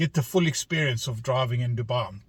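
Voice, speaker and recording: A man speaks in a South African accent. His voice is somewhat breathy. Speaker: vlogger. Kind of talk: casual narration while driving. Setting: in a car.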